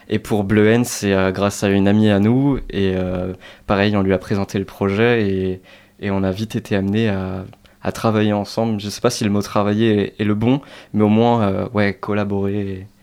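On a very clean recording with a silent background, a man speaks at a fairly low pitch in a monotone, flat intonation. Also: moderate pace. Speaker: student podcaster. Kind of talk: radio interview.

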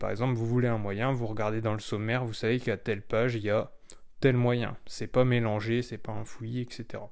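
This man has a medium pitch and a relaxed tone. His pace is moderate. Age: 20s. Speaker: blogger. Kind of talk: solo podcast monologue.

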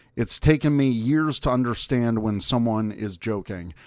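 The speaker is a man with a medium pitch. The recording is very clean, with a silent background. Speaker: podcast host. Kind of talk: casual group chat. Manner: animated.

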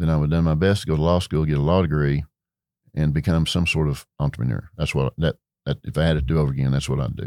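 A man speaks very fast in a West Texas accent, his very deep, low pitch and dark, mellow tone held to fairly even intonation, the sound dry and close with no echo. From Texas Panhandle. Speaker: retired beverage distribution executive. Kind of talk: interview. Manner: halting, many fillers.

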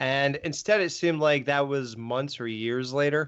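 A man speaks at a fairly high pitch and moderate pace. He has an ordinary speaking voice. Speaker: podcaster. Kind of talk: casual chat.

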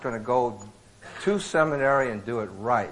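Noticeable background noise and audible room echo surround a man with an American accent who talks at a moderate pace and medium pitch, with ordinary pitch variation. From Iowa, US Midwest. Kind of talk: sermon. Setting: men's retreat with live audience.

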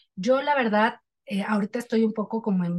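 Somewhat breathy, a woman's voice sits at a fairly high pitch with a dark, mellow tone. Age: 40s. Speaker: journalist. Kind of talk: casual chat.

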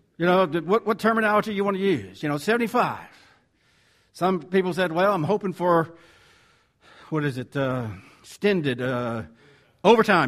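With a Southern US accent, the speaker uses lively intonation at a moderate pace, broken by long, frequent pauses. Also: man, high pitch for a man. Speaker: preacher. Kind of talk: sermon. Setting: church.

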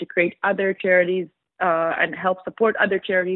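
Speaking at a fairly quick pace, a woman keeps her medium pitch in monotone, flat intonation. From Israel. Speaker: media executive. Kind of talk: interview.

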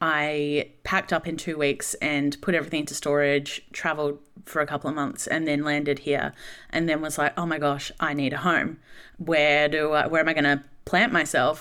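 A woman with an Australian accent speaks at a moderate pace in a very deep, low pitch, with a bright, sharp tone. Her intonation is monotone and flat, and the recording is very clean with a silent background. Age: 30s. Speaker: speaker and content creator. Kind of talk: casual interview. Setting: studio.

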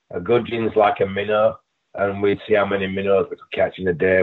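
A man with an English accent speaks at a fairly quick pace in a fairly low pitch. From England. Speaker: pro bodybuilder and wrestler. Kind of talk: casual interview chat.

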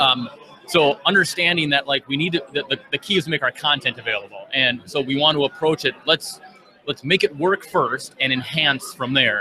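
A fairly high-pitched male voice with an American accent and ordinary pitch variation, over noticeable background noise. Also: moderate pace. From Minnesota. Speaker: software trainer and developer. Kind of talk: casual interview. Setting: conference floor.

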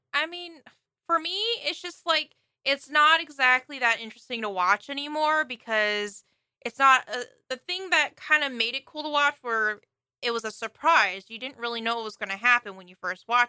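In a raised, projected voice, a woman speaks at a high pitch and moderate pace, with lively intonation, big swings in loudness, and a bright, sharp tone, the sound dry and close with no echo. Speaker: podcast co-host. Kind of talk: casual chat.

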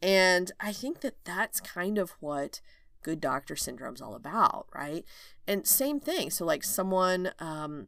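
With a slight Southern US accent, a woman talks in lively intonation on a very clean recording with a silent background. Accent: slight Southern twang. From Oklahoma, rural. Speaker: OB/GYN physician and coach, podcast host. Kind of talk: solo podcast monologue. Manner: casual, laughing often.

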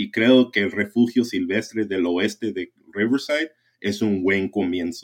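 An ordinary speaking voice, a man's at a fairly low pitch, moves at a fairly slow pace with ordinary pitch variation on a very clean recording with a silent background. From US West Coast (San Jacinto Valley, California). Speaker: conservation advocate. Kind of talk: casual interview.

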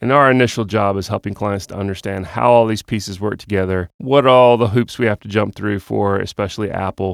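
A man with an American accent speaks at a fairly quick pace in a plain, everyday voice, his pitch fairly low with ordinary pitch variation, on a very clean recording with a silent background and a dry, close sound with no echo. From US South, Georgia (Austell, South Cobb). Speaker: podcast host and web development company founder. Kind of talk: scripted show intro. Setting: studio.

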